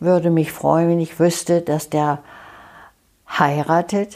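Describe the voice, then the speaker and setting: Her pitch is very deep and low. This woman speaks at a very slow pace with monotone, flat intonation. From Germany. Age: 90s. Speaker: elderly eyewitness. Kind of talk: life story interview. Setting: her living room.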